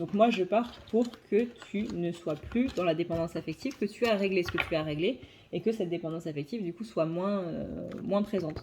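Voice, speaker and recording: Moderate pace with ordinary pitch variation. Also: woman, fairly low pitch for a woman. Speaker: psychic card reader. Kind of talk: tarot reading monologue; casual channel update. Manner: hesitant with fillers.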